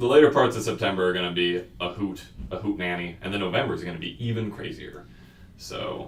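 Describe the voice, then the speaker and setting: A man with a very deep, low pitch speaks at a fairly quick pace with ordinary pitch variation and big swings in loudness, amid audible room echo and noticeable background noise. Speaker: student podcast host. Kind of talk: casual chat. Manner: fast.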